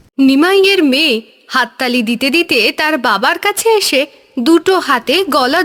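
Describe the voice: A woman talks at a moderate pace in a high voice. Her tone is fairly bright, and her intonation is lively.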